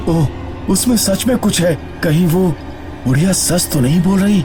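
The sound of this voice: A cartoonish character voice moves at a moderate pace over loud background noise. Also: man, high pitch for a man.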